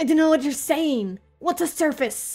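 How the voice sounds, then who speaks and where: Faint music plays behind a woman who puts on a high character voice at a moderate pace. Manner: terrified, stammering.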